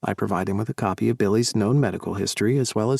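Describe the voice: The pitch varies an ordinary amount in this plain reading aloud.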